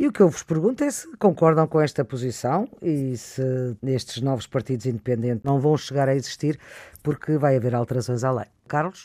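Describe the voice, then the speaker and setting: Dark and mellow, a man's medium-pitched voice moves at a moderate pace with ordinary pitch variation. The sound is dry and close, with no echo. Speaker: radio host. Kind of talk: radio panel moderation. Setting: remote, each in own place.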